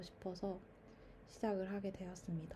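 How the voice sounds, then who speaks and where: A woman speaks at medium pitch. Her tone is dark and mellow, and somewhat breathy. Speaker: YouTuber. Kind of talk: casual monologue. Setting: recording at mother's home. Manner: stream of consciousness, with fillers.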